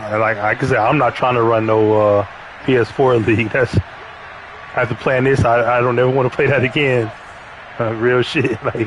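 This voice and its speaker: A man at medium pitch and moderate pace, monotone and flat, very even in loudness, with long, frequent pauses and noticeable background noise. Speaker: gamer streaming. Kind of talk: casual chat.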